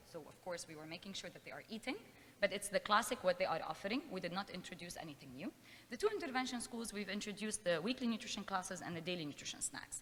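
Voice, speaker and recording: A woman speaks at a very fast pace and medium pitch, with big swings in loudness. Noticeable background noise is heard behind her. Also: lively intonation. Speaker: nutrition professor. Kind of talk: conference talk.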